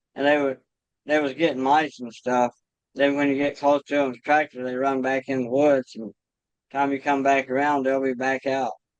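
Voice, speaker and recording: The speaker has a Kentucky accent and a moderate pace. The delivery is a flat monotone, and the sound is dry and close with no echo. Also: man, medium pitch for a man. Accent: rural Kentucky, US South. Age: 40s. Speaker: trapper. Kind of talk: podcast interview. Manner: casual, conversational.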